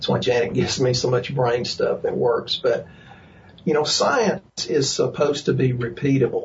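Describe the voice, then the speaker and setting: There is noticeable background noise as a man speaks with a Texas accent. His loudness stays very even. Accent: Texas drawl. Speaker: chiropractor and nutrition practitioner. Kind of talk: casual interview. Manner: jokey, folksy.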